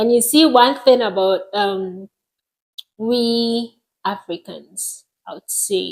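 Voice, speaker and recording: A woman with a Ghanaian accent speaks at a very slow pace, with long, frequent pauses, big swings in loudness and ordinary pitch variation. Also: fairly high pitch for a woman. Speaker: podcast co-host, architectural design professional. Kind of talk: casual chat.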